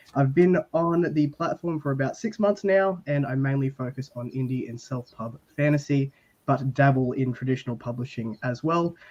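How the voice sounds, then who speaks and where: A man with an Australian accent, fairly high in pitch, at a moderate pace with hardly any pauses and ordinary pitch variation. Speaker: book content creator. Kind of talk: casual panel discussion.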